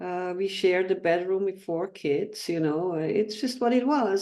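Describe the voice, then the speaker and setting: A woman's medium-pitched voice with a dark, mellow tone and lively intonation. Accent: non-native. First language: not English. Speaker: clinical hypnotherapist. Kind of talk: interview. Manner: halting.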